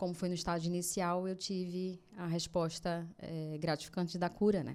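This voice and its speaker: Her voice is fairly low in pitch with a dark, mellow tone, and this woman speaks with a northeastern Brazilian accent. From Brazil, Natal, Rio Grande do Norte. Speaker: cancer survivor, project founder. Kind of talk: interview testimony.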